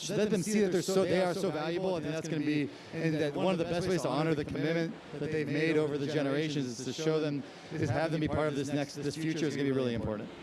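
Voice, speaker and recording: Amid noticeable background noise and audible room echo, a man talks at a very fast pace and a fairly high pitch, with ordinary pitch variation. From Scotland. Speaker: panelist from a professional networking company. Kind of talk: panel discussion.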